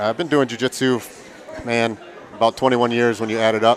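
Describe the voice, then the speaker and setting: With crowd noise in the background, a man with an Upper Midwest accent speaks at a medium pitch with fairly even intonation. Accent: Upper Midwest American. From Milwaukee, Wisconsin. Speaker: gym owner and event commentator. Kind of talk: live commentary banter.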